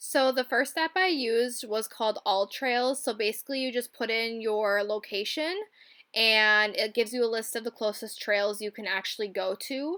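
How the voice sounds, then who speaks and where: A woman with a Midwestern accent talks at a moderate pace in a fairly high, bright, sharp tone with ordinary pitch variation. The recording is very clean, with a silent background. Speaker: travel vlogger. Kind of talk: casual vlog. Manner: casual, many fillers like 'like'.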